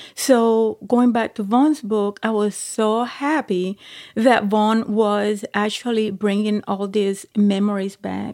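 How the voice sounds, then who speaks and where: Speaking at a very slow pace in a medium pitch, a woman is heard in a very clean recording with a silent background. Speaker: retiree, guest's mother. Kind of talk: casual interview. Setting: on vacation, in person.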